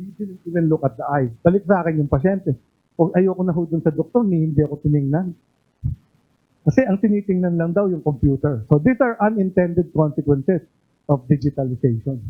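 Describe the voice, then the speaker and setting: Lively intonation at a fairly quick pace. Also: man, high pitch for a man. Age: 50s. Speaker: doctor and former health official, IT governance lecturer. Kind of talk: lecture. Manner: animated.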